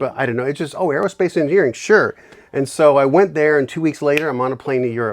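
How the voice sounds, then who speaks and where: At a very fast pace, a man with an American accent talks in a fairly high pitch with ordinary pitch variation. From New York City, the Bronx. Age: 60s. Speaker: inventor and bourbon maker. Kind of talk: casual interview chat.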